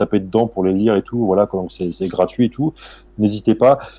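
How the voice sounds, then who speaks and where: The man's voice is fairly low in pitch and varies in an ordinary way. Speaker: historian. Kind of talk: interview. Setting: live stream on Twitch. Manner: fast; halting, many fillers.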